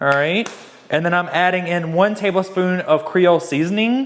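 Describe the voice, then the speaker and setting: Speaking in a Southern US accent, the voice carries an upbeat tone at a moderate pace. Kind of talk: casual cooking tutorial talk to camera. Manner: casual, chatty, upbeat.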